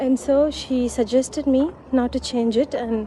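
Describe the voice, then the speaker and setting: With a Sri Lankan Tamil accent, the speaker talks at a fairly slow pace with fairly even intonation over noticeable background noise. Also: woman. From Sri Lanka, Tamil background. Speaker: vlogger. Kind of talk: casual vlog monologue. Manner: halting, with fillers and repetitions.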